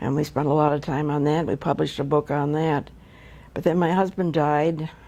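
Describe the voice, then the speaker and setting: This woman has a very deep, low pitch and a dark, mellow tone, with an American accent. She talks fairly quickly in a monotone, flat delivery. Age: 80s+. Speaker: retired wildlife research biologist. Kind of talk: oral history interview answer.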